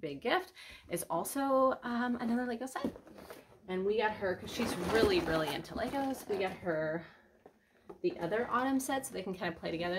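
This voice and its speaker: This woman's intonation is lively, and background noise is noticeable in the clip. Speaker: family vlogger. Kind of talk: casual chat. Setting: at home. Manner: soft-spoken.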